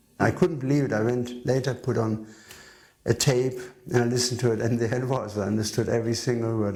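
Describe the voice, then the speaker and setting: At a fairly quick pace, a man talks in a somewhat breathy, medium-pitched voice with ordinary pitch variation. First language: not English. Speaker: devotee recalling memories. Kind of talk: interview testimony.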